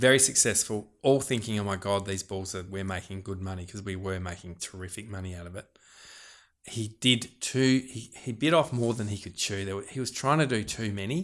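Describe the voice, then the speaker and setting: In a very clean recording with a silent background, a man with an Australian accent talks at a fairly quick pace. His voice is fairly low, with ordinary pitch variation and big swings in loudness. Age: 40s. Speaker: farmer and fisherman. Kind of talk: casual interview chat.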